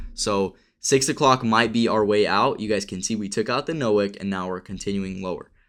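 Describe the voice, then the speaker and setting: A man's fairly low-pitched, ordinary speaking voice at a fairly quick pace, with ordinary pitch variation, on a very clean recording with a silent background. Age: 20s. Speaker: day trader and trading streamer. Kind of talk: live stream commentary. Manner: casual.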